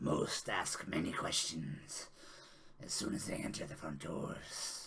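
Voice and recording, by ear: Whispering, a man uses a put-on character voice.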